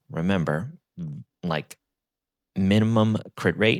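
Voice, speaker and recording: A man speaks quietly, and the sound is dry and close with no echo. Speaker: gaming content creator. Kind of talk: game guide commentary. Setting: home recording, early morning. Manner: quiet, speaking low.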